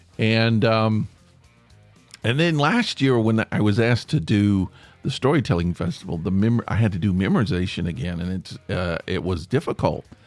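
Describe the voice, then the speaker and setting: A man speaks at a moderate pace with a fairly low pitch and lively intonation. Music plays in the background. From Tennessee. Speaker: podcast host, former stage actor and stand-up comic. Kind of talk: casual podcast talk.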